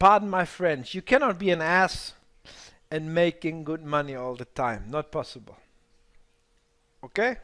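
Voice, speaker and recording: A man with a non-native accent, fairly high pitch, and bright, sharp tone, at a moderate pace broken by long, frequent pauses. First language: not English. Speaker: trading mentor. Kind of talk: live webinar workshop. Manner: halting.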